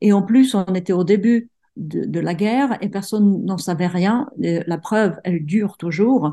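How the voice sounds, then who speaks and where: Against a quiet background, a woman with a dark, mellow tone speaks at a medium pitch and a fairly slow pace, with ordinary pitch variation. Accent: Czech. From Czech Republic, provincial town. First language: Czech (speaking French). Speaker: writer. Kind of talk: interview. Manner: halting, many repetitions.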